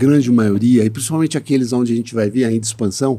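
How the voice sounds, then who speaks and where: The man's voice has a dark, mellow tone at a medium pitch, with ordinary pitch variation. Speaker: podcast host. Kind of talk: podcast interview. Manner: hesitant with frequent filler sounds.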